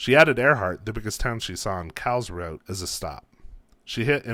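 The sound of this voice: The reading voice sounds unforced. Its intonation is lively.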